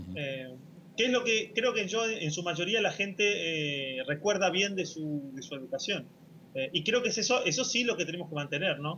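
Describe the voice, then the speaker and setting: A man's high-pitched voice at a moderate pace, with light background noise. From Argentina. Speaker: filmmaker; guest. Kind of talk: interview. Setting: video call. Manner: halting, many fillers. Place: home room. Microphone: video call.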